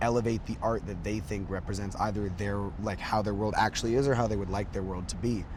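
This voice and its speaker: A man speaks very fast with hardly any pauses, his somewhat breathy voice at a fairly low pitch and an audible room echo around it. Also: fairly even intonation. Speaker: lead singer of a band. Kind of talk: interview. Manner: filler-heavy, many likes and ums.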